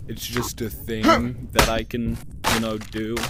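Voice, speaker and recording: Audible room echo and noticeable background noise surround a man talking at a fairly slow tempo. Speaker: gaming youtuber. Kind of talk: gameplay commentary. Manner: hesitant, lots of fillers; trying to talk loud.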